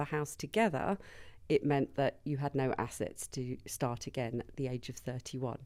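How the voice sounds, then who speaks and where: Against a silent background in a very clean recording, a woman with a slight Birmingham accent speaks at a fairly slow pace, with a dark, mellow tone and fairly even intonation. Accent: slight Birmingham twang. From Birmingham, England. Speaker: business founder, compliance consultant. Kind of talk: interview.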